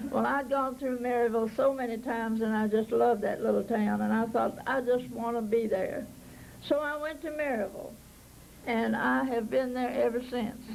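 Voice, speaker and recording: Audible room echo surrounds a woman with a fairly high voice. She speaks at a moderate pace with fairly even intonation. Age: 90s. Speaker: park volunteer. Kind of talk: oral history storytelling.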